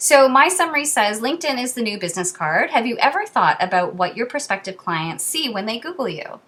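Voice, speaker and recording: Over noticeable background noise, a woman with a fairly high pitch speaks with hardly any pauses and very wide pitch swings. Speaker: social media marketing consultant. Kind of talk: reading aloud. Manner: fast.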